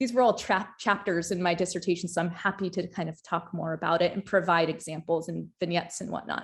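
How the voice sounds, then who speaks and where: A woman talks at a very fast pace with hardly any pauses. Her voice is somewhat breathy, and the recording is very clean with a silent background. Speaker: doctoral researcher and former firefighter. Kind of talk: academic panel presentation. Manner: halting, many fillers and repetitions.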